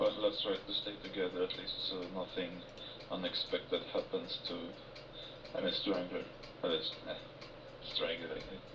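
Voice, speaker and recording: A man keeps a moderate pace as noticeable background noise sounds around him. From Sweden. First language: Swedish. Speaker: game player. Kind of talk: casual game chat. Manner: halting.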